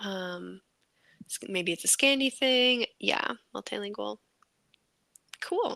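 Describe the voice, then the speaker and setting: A woman with an American accent at a very slow pace, with long, frequent pauses, in a dry, close sound with no echo. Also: big swings in loudness. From United States. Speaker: writing livestream co-host. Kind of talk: casual chat.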